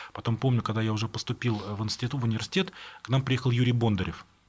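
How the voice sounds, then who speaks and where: Somewhat breathy and medium in pitch, a man talks at a very fast pace. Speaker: writer. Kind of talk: interview.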